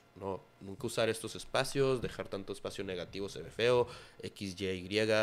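In a plain, everyday voice, a man talks at a fairly quick pace with lively intonation. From Durango, northern Mexico. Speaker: graphic designer and hospitality manager. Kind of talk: casual chat.

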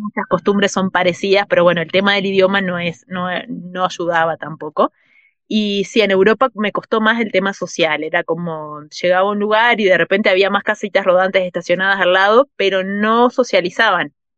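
Using an ordinary speaking voice, a woman talks at medium pitch and a moderate pace. Her intonation is fairly even, and the sound is dry and close with no echo. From Uruguay. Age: 40s. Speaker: traveller and writer. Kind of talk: interview.

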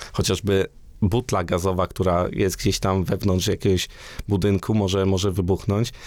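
The man has a very deep, low pitch and a moderate pace. His loudness stays very even and his intonation is flat and monotone. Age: 30s. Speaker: engineer and university researcher. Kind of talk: interview. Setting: studio.

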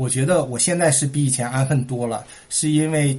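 In a somewhat breathy voice of fairly high pitch, a man speaks at a fairly slow pace. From Heilongjiang, northeast China (Shuangyashan). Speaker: immigrant entrepreneur. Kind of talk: casual interview chat.

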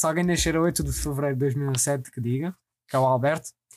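A man's voice on a very clean recording, the background silent. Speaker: podcast host. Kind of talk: casual chat.

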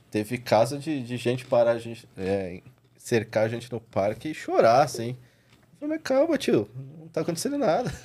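In a São Paulo accent, a man speaks at a moderate pace. His loudness swings widely. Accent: São Paulo Brazilian Portuguese. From São Paulo, Zona Norte, Brazil. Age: 40s. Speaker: dog trainer. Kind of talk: casual chat.

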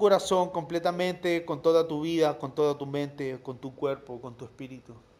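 There is noticeable background noise behind a man. He speaks at a moderate pace with ordinary pitch variation. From Chile, La Serena. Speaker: preacher. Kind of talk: sermon. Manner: halting, with repetitions.

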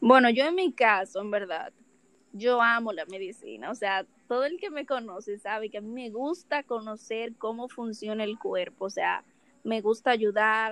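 With a Dominican accent, a woman with a fairly high pitch speaks at a fairly slow pace, her loudness swinging widely and her pitch varying in an ordinary way. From Dominican Republic. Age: 20s. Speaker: dental student, podcast co-host. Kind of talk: casual chat.

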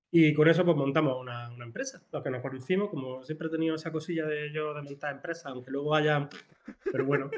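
A man's fairly high voice, very fast, with fairly even intonation and big swings in loudness. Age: 40s. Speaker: small business co-founder, media producer. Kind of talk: casual chat.

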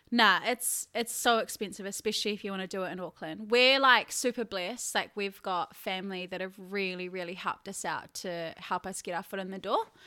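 On a very clean recording with a silent background, a woman with a New Zealand accent speaks at a fairly quick pace in a bright, sharp, medium-pitched voice with fairly even intonation. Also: hardly any pauses. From New Zealand, Taranaki. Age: 20s. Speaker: content creator and team leader. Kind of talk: casual chat. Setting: her new apartment.

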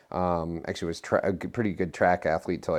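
With a Midwestern American accent, a man speaks at a very fast pace in a very deep, low pitch against a quiet background. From Nebraska, US Midwest. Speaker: physician and clinical researcher. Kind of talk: interview testimony.

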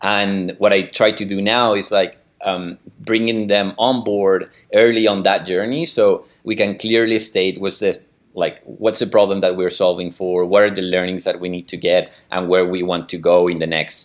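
Fairly low in pitch, this man speaks with a Spanish accent. His pace is moderate and his intonation fairly even. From Chile. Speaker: growth marketing manager. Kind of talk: interview. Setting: video call. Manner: halting, repeats words.

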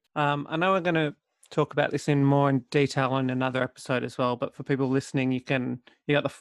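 Speaking fairly quickly in an Australian accent, a man keeps a fairly high pitch and a monotone, flat intonation, with a dry, close sound with no echo. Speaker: podcast co-host. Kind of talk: casual podcast chat.

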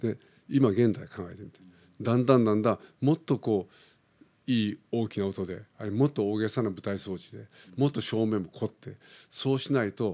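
On a very clean recording with a silent background, a man with a fairly low voice and a dark, mellow tone speaks at a moderate pace with ordinary pitch variation and big swings in loudness. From Philippines (Japanese-Filipino). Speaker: opera singer. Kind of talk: interview.

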